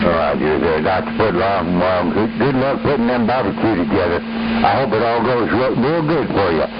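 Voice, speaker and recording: With audible room echo and noticeable background noise, a man talks at a moderate pace with hardly any pauses, lively intonation, and very even loudness. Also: medium pitch for a man. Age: 70s. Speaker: CB radio operator. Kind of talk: CB radio chat. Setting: CB radio transmission.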